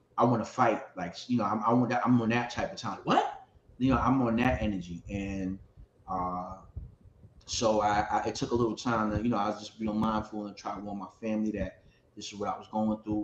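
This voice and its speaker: Speaking at a fairly quick pace and fairly low pitch, a man's voice swings widely in loudness over noticeable background noise. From Ohio. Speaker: hip hop artist and panelist. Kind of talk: panel discussion, personal testimony. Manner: animated; halting, repetitive.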